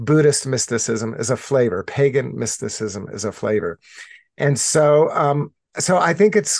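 Against a quiet background, a man with an unremarkable speaking voice talks at a moderate pace in a fairly high pitch. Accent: American. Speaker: author and spiritual director. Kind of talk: interview.

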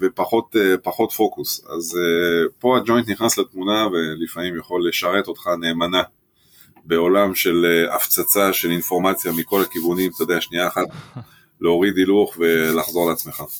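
A man speaks in a very deep, low voice at a moderate pace, with fairly even intonation and very even loudness. The sound is dry and close with no echo. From France. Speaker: music club owner and reggae band leader. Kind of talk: interview.

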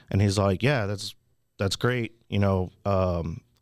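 On a very clean recording with a silent background, a man with an ordinary speaking voice talks at a fairly low pitch with fairly even intonation. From Houston, Texas. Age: 30s. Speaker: real estate wholesaler. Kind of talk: podcast interview.

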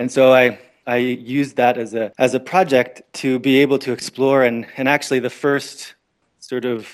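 On a very clean recording with a silent background, a man with a Canadian accent talks at a moderate pace in a medium pitch with monotone, flat intonation. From Canada, Northern Ontario. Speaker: permaculture educator. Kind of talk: interview. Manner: halting, many fillers.

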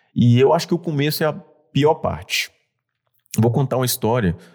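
In a very clean recording with a silent background, a man talks at a moderate pace in a dark, mellow tone with lively intonation. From Bahia, Brazil (Mucuri). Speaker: entrepreneur. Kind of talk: interview conversation.

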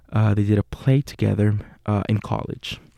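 Heard in a dry, close sound with no echo, a man with a Puerto Rican accent speaks at a fairly slow pace. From Puerto Rico. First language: Spanish. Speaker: acting student and podcast host. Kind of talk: casual monologue. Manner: hesitant with fillers.

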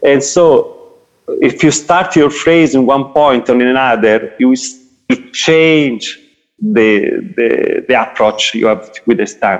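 Using lively intonation, a man with an Italian accent speaks very slowly at a fairly high pitch. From Italy. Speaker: jazz saxophonist and teacher. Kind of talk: interview. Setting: video call. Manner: halting.

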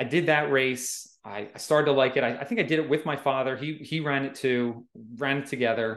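A man speaks at a fairly quick pace in a plain, everyday voice, his pitch fairly high and his intonation fairly even. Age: 40s. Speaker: amateur trail runner, guest. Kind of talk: casual interview chat. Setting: remote call.

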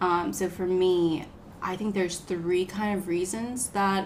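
A woman speaks in an American accent with monotone, flat intonation. Audible room echo surrounds her voice. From US South, south Georgia (Moultrie). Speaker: dentist. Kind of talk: casual chat.

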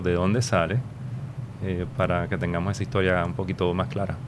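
Here is a man with a normal speaking voice. He talks at a fairly quick pace with ordinary pitch variation. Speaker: podcast host, former newspaper director. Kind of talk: interview conversation.

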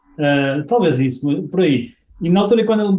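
The man talks at a fairly quick pace, his pitch high. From northern Portugal, Guimarães. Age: 40s. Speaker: e-commerce marketing consultant. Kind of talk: interview.

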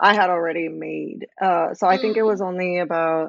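Here is an ordinary speaking voice from a woman with an American accent. Her pitch is medium, with ordinary variation. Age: 20s. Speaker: visual artist. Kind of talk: interview.

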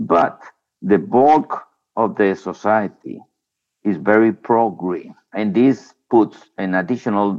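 With a Spanish accent, a man speaks very slowly at a fairly low pitch with ordinary pitch variation, leaving long, frequent pauses against a quiet background. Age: 60s. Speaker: former environment minister. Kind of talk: interview.

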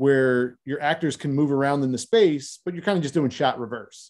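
A man with an American accent talks at a fairly quick pace in a plain, everyday voice, fairly high in pitch with ordinary pitch variation, on a very clean recording with a silent background. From South Philadelphia. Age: 30s. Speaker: film director. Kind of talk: casual interview.

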